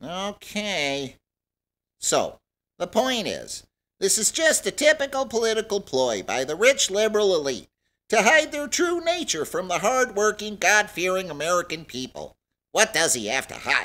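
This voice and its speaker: A man performs a put-on character voice at a moderate pace, high-pitched with very wide pitch swings, in a very clean recording with a silent background. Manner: indignant, increasingly angry.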